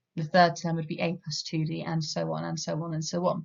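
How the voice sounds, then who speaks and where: A woman with an English accent, a somewhat breathy voice and a fairly quick pace. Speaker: maths teacher. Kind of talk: lecture. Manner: fast.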